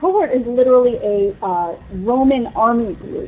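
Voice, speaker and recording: With an American accent, a woman with a high pitch and a dark, mellow tone makes very wide pitch swings. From US East Coast. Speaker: physician researcher lecturer. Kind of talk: lecture.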